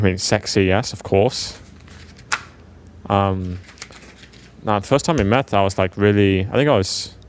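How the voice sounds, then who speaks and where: Against noticeable background noise, a man with a British accent speaks at a moderate pace and a fairly low pitch, with ordinary pitch variation and long, frequent pauses. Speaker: professional esports player. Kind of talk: casual chat.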